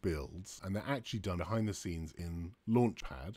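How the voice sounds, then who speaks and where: A man speaks at a fairly slow pace. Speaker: developer advocate hosting a live stream. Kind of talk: live tutorial stream. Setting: live stream with chat.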